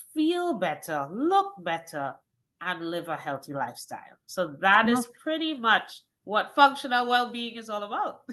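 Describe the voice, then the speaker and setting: With a Trinidadian accent, a woman speaks at a fairly slow pace in a fairly high pitch and a bright, sharp tone. Her pitch swings very widely and her loudness rises and falls in big swings. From Trinidad and Tobago. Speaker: wellness coach. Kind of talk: interview.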